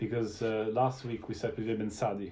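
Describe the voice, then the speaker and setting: In an Italian accent, a man talks at a fairly quick pace with a dark, mellow tone. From Italy. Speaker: wine show host. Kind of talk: interview. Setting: live-streamed video show.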